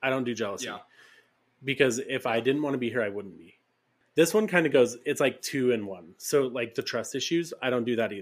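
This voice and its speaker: A man with an ordinary speaking voice talks at a fairly quick pace and a medium pitch, his intonation lively. His loudness swings widely, and the recording is very clean with a silent background. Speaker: podcast co-host. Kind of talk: casual chat, storytelling.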